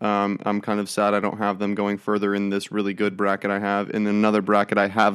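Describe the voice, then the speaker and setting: On a very clean recording with a silent background, a man with a fairly low pitch speaks at a fairly quick pace. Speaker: sports podcast co-host. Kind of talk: casual sports chat.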